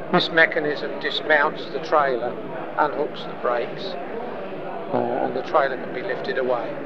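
Amid loud background noise, a man talks at a moderate pace. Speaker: model builder and exhibitor. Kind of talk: interview answer. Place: hall. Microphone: lapel.

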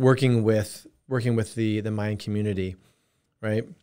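A man with an unremarkable speaking voice, fairly low in pitch, at a moderate pace with fairly even intonation, against a quiet background. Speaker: podcast host. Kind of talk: interview. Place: office.

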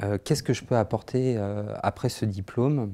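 A dark, mellow voice moves at a fairly slow pace with fairly even intonation. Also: man. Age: 30s. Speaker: social care manager, training graduate; social educator. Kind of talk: testimonial interview. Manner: hesitant, many fillers. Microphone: lapel.

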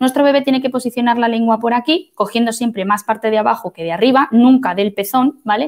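Against a quiet background, a woman talks very fast in a fairly high pitch with ordinary pitch variation. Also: hardly any pauses. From Spain, Madrid. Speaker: midwife. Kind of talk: lecture. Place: home room. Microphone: webcam.

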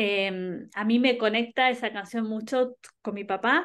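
The background is quiet. A woman talks very slowly. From Argentina, Buenos Aires (early years in Ayacucho); Buenos Aires, Argentina. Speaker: singer; interviewee. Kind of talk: interview. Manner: halting, many repetitions and fillers. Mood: warm, friendly. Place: home room. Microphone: video call.

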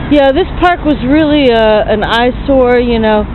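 A woman speaks with ordinary pitch variation in a dry sound with no echo, though there is noticeable background noise. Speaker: video blogger. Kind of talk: casual walking vlog monologue. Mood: chatty, opinionated. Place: street. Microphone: phone near.

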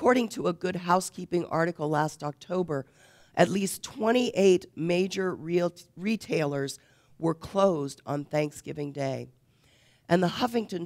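A woman talks at a fairly slow pace in a fairly low voice, a normal speaking voice. The background is quiet. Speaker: preacher. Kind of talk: sermon. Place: church.

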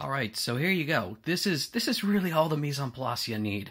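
The tone is bright and sharp as a man talks. Nothing much is audible behind him. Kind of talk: tutorial. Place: kitchen. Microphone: camera far.

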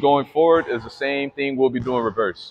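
A man talks with ordinary pitch variation and a moderate pace while light background noise sits behind him. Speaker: basketball trainer. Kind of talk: tutorial. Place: hall.

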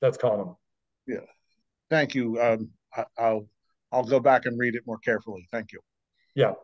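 A man's medium-pitched voice at a moderate pace, with fairly even intonation and long, frequent pauses, in a dry, close sound with no echo. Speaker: audience member asking question. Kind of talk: question in Q&A. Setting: video call.

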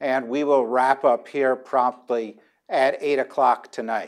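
The background is quiet. A man does the talking. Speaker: debate moderator. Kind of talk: moderator introduction to audience. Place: hall. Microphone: lapel.

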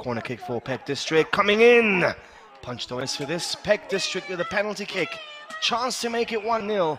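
Noticeable background noise sits under a high-pitched male voice. He talks at a moderate pace with very wide pitch swings. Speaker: football commentator. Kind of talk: live sports commentary. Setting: outdoors at stadium, live match. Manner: chatty, laughs and banters.

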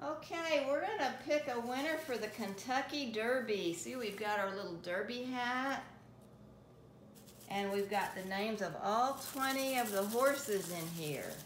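Speaking fairly slowly, a woman is heard with audible room echo and light background noise. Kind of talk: casual talk to a pet. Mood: playful, coaxing. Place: kitchen. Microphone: phone near.

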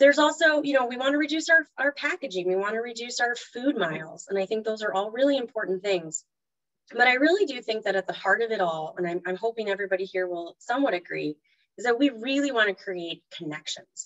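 A woman talks at a very fast pace, her pitch swinging very widely. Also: quiet background. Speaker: presenter. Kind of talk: webinar talk. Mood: warm, enthusiastic. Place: home room. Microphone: video call.

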